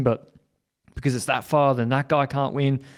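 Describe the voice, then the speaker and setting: A man speaks with an Australian accent. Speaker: cycling podcast host and team strategist. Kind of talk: podcast interview. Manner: halting, with repetitions.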